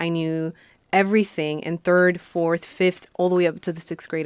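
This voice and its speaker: Flat, monotone speech with a Spanish accent at a moderate pace, in a very clean recording with a silent background and a dry, close sound without echo. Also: woman. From Colombia, moved to US at nine. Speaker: beauty queen and motivational speaker. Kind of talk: interview.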